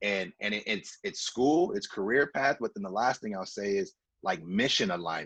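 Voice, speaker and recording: A man with a plain, everyday voice talks in an American accent at a medium pitch. His pace is moderate and his intonation lively. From Los Angeles, US West Coast. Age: 30s. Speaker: entrepreneur, former college football player. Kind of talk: advice talk on video call.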